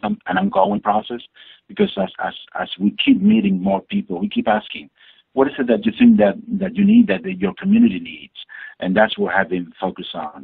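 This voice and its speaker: A man with an Argentine accent at a fairly quick pace. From Argentina, Buenos Aires. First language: Spanish. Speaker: community advocate and education coordinator. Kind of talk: interview answer.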